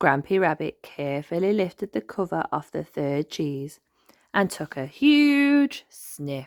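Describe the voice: A woman at low pitch, slow and with lively intonation, her slightly mellow tone caught in a dry, close sound with no echo.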